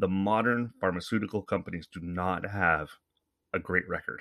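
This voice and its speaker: Against a quiet background, a man with a Canadian accent speaks at a moderate pace in a very deep, low pitch. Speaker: podcast host. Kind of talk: casual monologue. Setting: home studio microphone. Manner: rambling, conversational.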